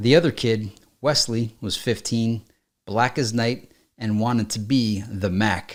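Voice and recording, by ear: With little sound behind it, a passage is read aloud in a natural voice.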